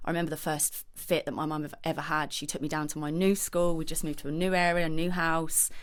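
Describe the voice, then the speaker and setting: A woman with a very deep, low pitch speaks at a fairly quick pace amid audible room echo. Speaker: podcast guest. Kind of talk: personal testimony. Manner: hesitant.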